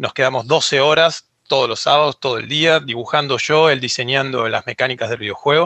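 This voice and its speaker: With hardly any pauses, a man talks at a fairly quick pace, his pitch fairly high and his intonation fairly even. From Argentina. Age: 30s. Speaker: 3D character artist. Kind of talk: interview.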